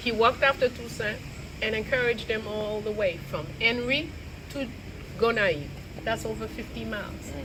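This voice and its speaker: Amid noticeable background noise and audible room echo, a woman speaks at a moderate pace and fairly high pitch with ordinary pitch variation and long, frequent pauses. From Haiti. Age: 70s. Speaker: lecturer on Haitian history. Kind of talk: lecture. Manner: animated.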